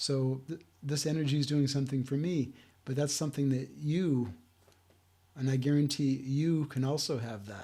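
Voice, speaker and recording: On a very clean recording with a silent background, a man with a fairly high, dark, mellow, somewhat breathy voice speaks at a moderate pace with fairly even intonation. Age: 60s. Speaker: self-help video host. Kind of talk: talking-head talk. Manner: halting.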